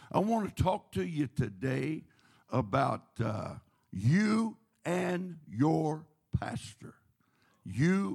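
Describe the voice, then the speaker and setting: At a very slow pace, a man speaks with a fairly high pitch, very wide pitch swings and vocal fry. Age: 70s. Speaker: guest preacher. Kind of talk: sermon. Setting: church. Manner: animated.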